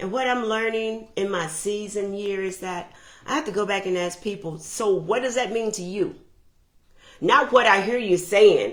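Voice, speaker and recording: Someone speaks loudly at a fairly slow pace. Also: woman. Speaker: motivational speaker on relationships. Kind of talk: motivational talk.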